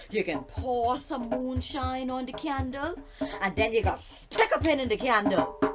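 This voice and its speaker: With music in the background, a woman with a Bahamian accent speaks at a high pitch. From Bahamas. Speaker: storyteller. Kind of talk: folk tale storytelling.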